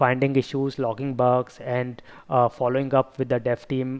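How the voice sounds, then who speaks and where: The speaker is a man. He talks at a medium speed. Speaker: software testing educator. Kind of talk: tutorial. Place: home room. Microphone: headset.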